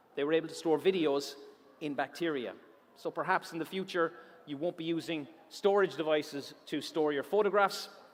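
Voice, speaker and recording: Speaking at a fairly quick pace, this man has a fairly high pitch. His tone is animated. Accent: Irish. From Ireland. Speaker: science presenter. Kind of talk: public science talk. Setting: auditorium stage with audience.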